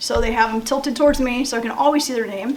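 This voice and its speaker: At a very fast pace, a woman with a high pitch speaks in fairly even intonation, with audible room echo and noticeable background noise. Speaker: middle school teacher. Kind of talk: school interview.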